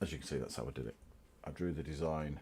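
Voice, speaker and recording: A man talks in a British accent with vocal fry. His pace is very fast. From Britain. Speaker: hobbyist YouTuber. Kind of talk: casual livestream show-and-tell.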